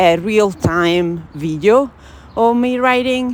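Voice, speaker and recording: Speaking in an Italian accent, a woman uses lively intonation at a very slow pace. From Italy. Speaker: journaling vlogger. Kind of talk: casual chat. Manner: hesitant, with fillers.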